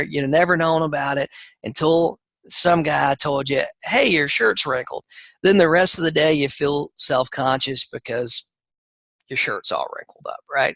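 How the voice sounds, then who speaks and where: Here a man speaks with a Southern US accent at a moderate pace. His voice is fairly high, his tone bright and sharp, and his intonation lively. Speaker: real estate coach. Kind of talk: coaching call lecture. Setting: conference call. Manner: casual, filler-heavy.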